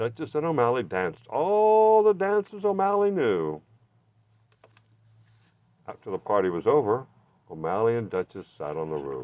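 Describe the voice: With lively intonation and a slightly mellow tone, a man at medium pitch talks at a fairly slow pace, leaving long, frequent pauses.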